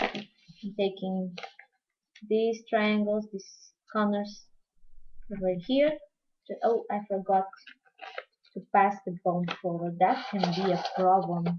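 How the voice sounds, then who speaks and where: A woman with a Portuguese accent speaks at a very slow pace with long, frequent pauses, using a medium pitch and fairly even intonation. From Portugal. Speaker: crafting tutorial host. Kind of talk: live-streamed craft tutorial. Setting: live stream. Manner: halting, non-fluent English.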